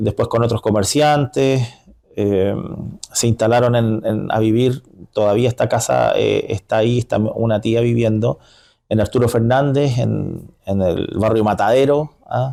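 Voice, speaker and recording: A man speaks with a Chilean accent in a dark, mellow tone. His pace is fairly slow. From northern Chile, Iquique. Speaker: community leader. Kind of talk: interview. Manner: halting, many fillers.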